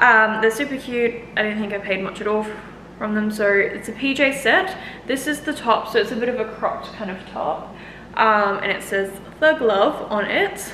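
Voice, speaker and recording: A woman's fairly high voice in an Australian accent, at a moderate pace with ordinary pitch variation, over light background noise and audible room echo. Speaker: fitness coach and YouTuber. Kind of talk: try-on haul vlog. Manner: casual, chatty with many fillers. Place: home room. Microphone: camera far.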